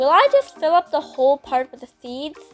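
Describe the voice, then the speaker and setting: With music in the background, a woman talks at a moderate pace, her pitch swinging very widely. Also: dry, close sound with no echo. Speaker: hobby painter. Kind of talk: casual craft video voiceover.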